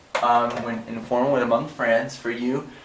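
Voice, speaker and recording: Audible room echo and noticeable background noise surround speech at a moderate pace. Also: man. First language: not Khmer; non-native Khmer speaker. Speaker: language teacher. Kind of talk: tutorial.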